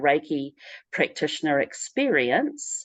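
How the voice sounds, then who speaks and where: Against a quiet background, a woman with a New Zealand accent and a very deep, low pitch speaks fairly slowly in a dry, close sound with no echo. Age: 60s. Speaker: spiritual practitioner. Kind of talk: interview. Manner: halting.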